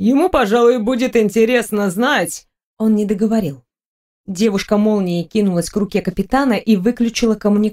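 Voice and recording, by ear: The background stays quiet. A natural voice reads the text aloud.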